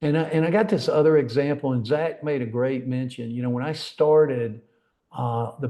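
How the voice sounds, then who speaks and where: This man has a medium pitch, ordinary pitch variation, a dark, mellow tone and a North Georgia accent. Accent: Southern US (North Georgia). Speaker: risk management consultant. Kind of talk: webinar presentation. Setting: online webinar.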